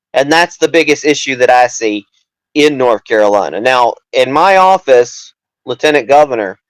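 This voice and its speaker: In a dry, close recording with no echo, a man speaks at a fairly high pitch and moderate pace, with very even loudness and ordinary pitch variation. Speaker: political candidate. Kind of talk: interview. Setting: live show.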